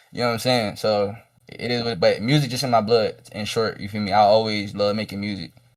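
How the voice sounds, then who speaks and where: Fairly low in pitch, a man's voice moves at a fairly quick pace. The intonation is fairly even. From Richmond, Virginia, US (East End). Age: 20s. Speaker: rapper and producer. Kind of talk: interview.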